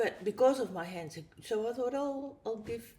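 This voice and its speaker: Somewhat breathy speech with a Dutch accent carries lively intonation. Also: woman. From Netherlands. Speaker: abstract artist. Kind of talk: interview. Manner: halting.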